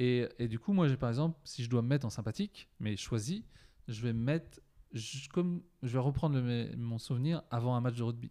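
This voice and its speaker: On a very clean recording with a silent background, a man speaks at a moderate pace with medium pitch, ordinary pitch variation and a dark, mellow tone. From France, Poitiers. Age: 40s. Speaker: mental coach. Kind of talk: casual interview.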